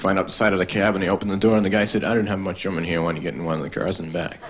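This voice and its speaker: In a Boston accent and a deadpan tone, a man talks with fairly low pitch and fairly even intonation while music plays in the background. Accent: Boston-area American. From Massachusetts, USA. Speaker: stand-up comedian. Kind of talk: stand-up comedy routine. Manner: deadpan, monotone.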